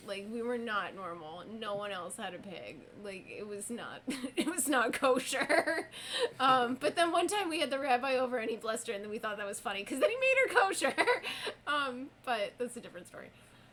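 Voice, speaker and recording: At a fairly quick pace, a high-pitched woman with an American accent makes very wide pitch swings and big swings in loudness, with noticeable background noise behind her. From US city, urban upbringing. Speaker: streamer and moderator playing a game. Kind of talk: casual chat.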